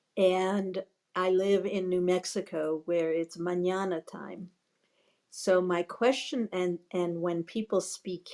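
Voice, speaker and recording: A woman's dark, mellow voice with a New York accent at a very slow pace. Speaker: audience member. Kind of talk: audience question.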